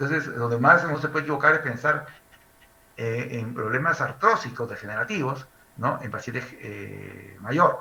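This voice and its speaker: A man with a medium pitch speaks at a moderate pace, using lively intonation and big swings in loudness. Audible room echo surrounds his voice. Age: 60s. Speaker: medical lecturer. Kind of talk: lecture.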